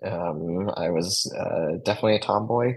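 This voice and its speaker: Speaking with an American accent at a fairly slow pace, the voice shows vocal fry and ordinary pitch variation. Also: man. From Mesa, Arizona. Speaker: transgender advocate. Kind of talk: interview.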